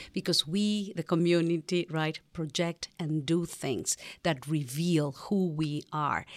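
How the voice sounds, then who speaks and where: A woman's fairly low voice, very slow and fairly even in intonation, on a very clean recording with a silent background. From Mexico City. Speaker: museum director. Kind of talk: interview. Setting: studio.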